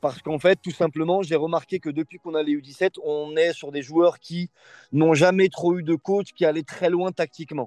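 A man with a normal speaking voice talks at a moderate pace in a dry, close sound with no echo. His pitch is fairly high and his intonation fairly even. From France, Lyon area (Bron). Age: 20s. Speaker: youth football coach. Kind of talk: interview.

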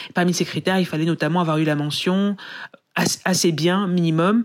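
Fairly even intonation at a moderate pace, on a very clean recording with a silent background. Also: woman. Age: 30s. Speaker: journalist and author. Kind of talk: testimony.

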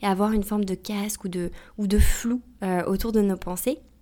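Speaking at a moderate pace, a woman with a fairly high pitch and a dark, mellow tone keeps her intonation fairly even. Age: 30s. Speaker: podcast host and emotional coach. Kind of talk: solo advice monologue.

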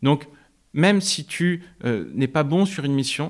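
Here a man uses an ordinary speaking voice, fairly high in pitch with ordinary pitch variation. Very clean recording, silent background. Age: 30s. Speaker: startup founder. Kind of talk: interview.

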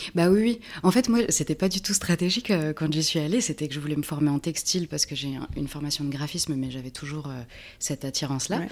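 With lively intonation and a very deep, low pitch, a woman talks at a very fast pace on a very clean recording with a silent background. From France, Reims (Champagne). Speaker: artist and graphic designer. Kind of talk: casual interview conversation. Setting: at the guest's home.

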